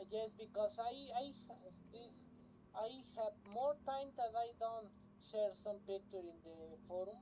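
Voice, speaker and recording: A woman with a Spanish accent speaks in a fairly high pitch with a dark, mellow tone and ordinary pitch variation. Her loudness swings widely, and she leaves long, frequent pauses. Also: fairly slow pace. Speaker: flight sim streamer. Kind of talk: casual live stream commentary. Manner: halting.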